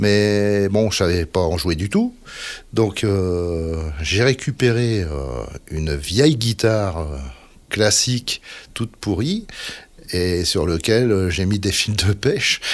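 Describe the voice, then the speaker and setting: In a very clean recording with a silent background, a man speaks at a very slow pace with long, frequent pauses. His fairly low voice carries lively intonation. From northern France, Dunkirk area (Nord). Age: 60s. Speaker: musician. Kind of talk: casual interview chat. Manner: halting, many fillers.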